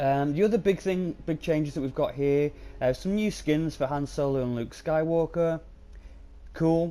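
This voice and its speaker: In a British accent, a man talks at a moderate pace with lively intonation. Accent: UK. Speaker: gaming YouTuber. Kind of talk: casual game commentary. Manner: hesitant, many filler ums.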